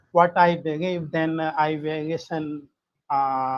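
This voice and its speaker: At a very slow pace, a man speaks in a flat monotone. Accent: non-native. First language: not English. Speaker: participant in a religion debate. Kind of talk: live online debate. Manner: halting, many filler sounds.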